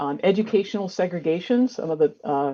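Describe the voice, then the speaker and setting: A woman talking at a fairly quick pace. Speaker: sociology professor. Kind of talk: academic lecture. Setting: video call from office. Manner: fast.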